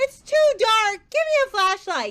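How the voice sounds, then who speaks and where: This is a put-on character voice, squeaky and extremely high in pitch. It moves at a fairly slow pace. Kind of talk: comic overacting. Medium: stage play.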